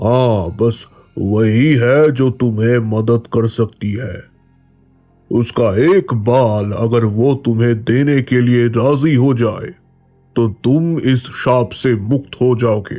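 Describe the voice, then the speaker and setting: A man does a cartoonish character voice at medium pitch, speaking very slowly with very even loudness and ordinary pitch variation. Faint music plays in the background. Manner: calm, solemn.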